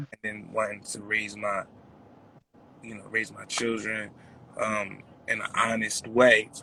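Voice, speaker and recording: A man with an American accent speaks at a fairly slow pace, fairly low in pitch, with long, frequent pauses. His intonation is monotone and flat, while his loudness swings widely. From North Philadelphia, US. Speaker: rapper. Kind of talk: casual interview. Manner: halting, many fillers.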